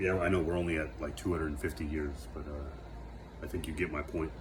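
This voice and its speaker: A man's very deep, low voice in an American accent, with ordinary pitch variation at a moderate pace, audible room echo and noticeable background noise. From United States. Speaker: vlogger. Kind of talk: reflective monologue. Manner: halting, many fillers and self-corrections.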